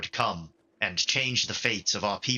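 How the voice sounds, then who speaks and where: A put-on character voice from a man, delivered at a moderate pace. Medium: actual play. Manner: earnest, fervent.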